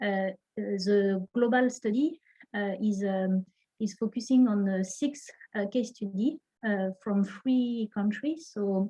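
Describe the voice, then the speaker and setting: A woman's medium-pitched, somewhat breathy voice in a French accent, dark and mellow in tone, fairly slow with long, frequent pauses and ordinary pitch variation. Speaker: researcher presenting a study. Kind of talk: online presentation. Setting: online session. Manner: halting, many fillers.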